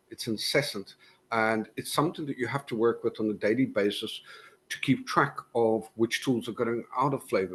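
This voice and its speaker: Over a quiet background, a man with a South African accent talks at a medium pitch and a moderate pace, with ordinary pitch variation. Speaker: cybersecurity conference speaker. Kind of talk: conference talk.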